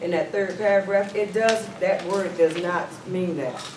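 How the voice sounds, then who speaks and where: Loud and fairly slow, a man with a Southern US accent and a high pitch speaks in a fairly even intonation, with audible room echo and noticeable background noise. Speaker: mayor chairing a town council meeting. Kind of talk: council meeting, chairing and debate.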